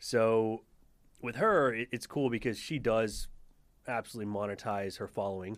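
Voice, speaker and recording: A man's normal speaking voice, medium in pitch, at a moderate pace with fairly even intonation, on a very clean recording with a silent background. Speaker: restaurant owner. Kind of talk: casual chat.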